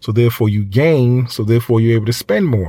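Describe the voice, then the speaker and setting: Dark, mellow tone from a man at medium pitch and a moderate pace. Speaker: podcast host. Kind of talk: casual chat. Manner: animated.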